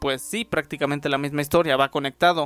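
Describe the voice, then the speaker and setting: On a very clean recording with a silent background, a man with a Mexican accent speaks with fairly even intonation. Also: dry, close sound with no echo. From Mexico. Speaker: YouTuber and podcaster. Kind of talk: casual chat.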